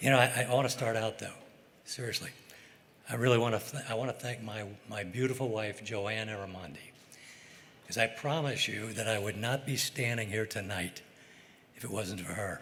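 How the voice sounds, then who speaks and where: Pausing long and often, a man speaks at medium pitch and a moderate pace with ordinary pitch variation, amid noticeable background noise and audible room echo. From US Midwest, St. Louis. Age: 80s+. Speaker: fishing boat captain, hall of fame inductee. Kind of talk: acceptance speech. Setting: stage with audience. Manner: halting, unscripted.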